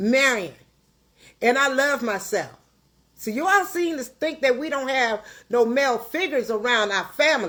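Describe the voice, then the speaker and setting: A woman's high-pitched, bright, sharp voice, animated in tone, with lively intonation, a moderate pace and long, frequent pauses. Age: 60s. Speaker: livestream host, caterer. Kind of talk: livestream rant. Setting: at home.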